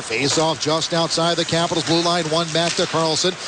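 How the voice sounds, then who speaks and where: Noticeable background noise surrounds a man speaking in a high voice. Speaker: radio play-by-play hockey announcer. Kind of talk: live sports play-by-play call. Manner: fast, energetic, rising to a shout on goals.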